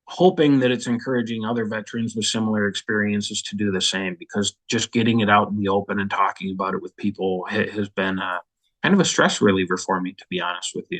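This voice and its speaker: A fairly low-pitched man with an American accent at a very fast pace, with hardly any pauses, ordinary pitch variation and a dry, close sound with no echo. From Minnesota, US Midwest. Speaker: war veteran. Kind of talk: testimony. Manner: casual, with fillers.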